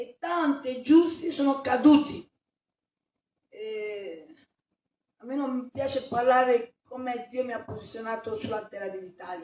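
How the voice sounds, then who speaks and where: At a fairly slow pace and a high pitch, a woman with a non-native accent talks with long, frequent pauses and big swings in loudness. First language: not Italian (speaking Italian). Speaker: pastor. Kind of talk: sermon.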